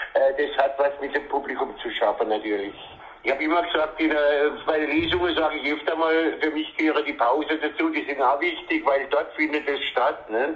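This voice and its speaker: A man whose pitch is fairly high talks fairly quickly as noticeable background noise carries on. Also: fairly even intonation. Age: 70s. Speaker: dialect poet. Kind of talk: phone interview. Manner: halting.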